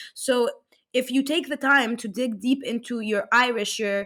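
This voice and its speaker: A woman's high-pitched voice on a very clean recording with a silent background. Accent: Arabic. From Egypt. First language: Arabic. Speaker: life coach. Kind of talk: casual chat.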